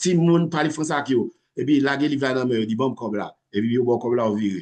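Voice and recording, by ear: Fairly quick, slightly mellow male speech with fairly even intonation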